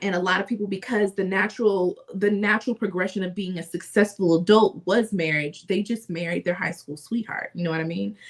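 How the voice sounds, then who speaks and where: Through noticeable background noise, a woman talks fairly quickly at a medium pitch, her intonation fairly even and hardly any pauses in her speech. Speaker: podcast co-host. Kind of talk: casual chat.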